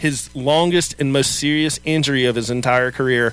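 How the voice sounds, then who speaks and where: Music plays in the background as a man speaks at a fairly high pitch. His pace is moderate and his intonation fairly even. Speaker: sports radio co-host. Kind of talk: casual chat. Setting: studio.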